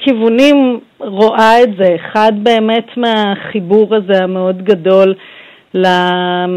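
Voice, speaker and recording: A woman speaks at a very slow pace. Her pitch varies in an ordinary way, and her loudness stays very even. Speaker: pediatric intensive care doctor. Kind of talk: radio interview.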